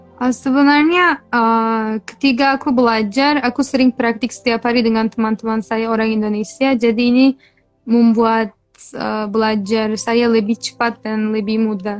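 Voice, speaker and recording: A woman at a fairly high pitch and moderate pace, with fairly even intonation and music in the background. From Turkey (Kurdish). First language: Kurdish or Turkish (speaking Indonesian). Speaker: language tutor. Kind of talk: interview.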